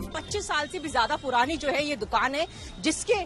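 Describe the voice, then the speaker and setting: Music plays behind a woman who speaks at a moderate pace with lively intonation. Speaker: TV news reporter. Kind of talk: field reporting with vox pops. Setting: outdoors at a street food stall.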